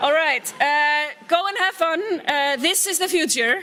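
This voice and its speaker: In an Icelandic accent, a woman uses a raised, projected voice and talks at a fairly slow pace. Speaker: tech company CEO, keynote speaker. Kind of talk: conference keynote.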